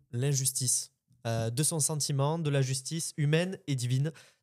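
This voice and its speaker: A man with a southern French accent speaks at a fairly high pitch in a dark, mellow tone with fairly even intonation, recorded very cleanly against a silent background. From southern France. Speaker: podcast co-host. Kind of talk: casual discussion.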